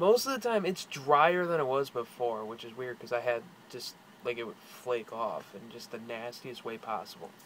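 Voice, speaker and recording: Big swings in loudness run through this man's speech. He keeps a moderate pace and a medium pitch. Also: ordinary pitch variation. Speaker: video blogger. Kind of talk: personal vlog. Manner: casual, hesitant with fillers.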